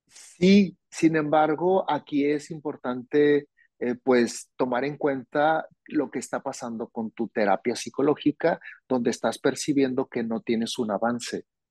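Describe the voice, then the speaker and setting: In a plain, everyday voice, a man talks at a fairly slow pace and fairly high pitch with ordinary pitch variation, the sound dry and close with no echo. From Mexico, Hermosillo, Sonora. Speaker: psychologist. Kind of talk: interview on mental health. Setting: remote recording, host in another city.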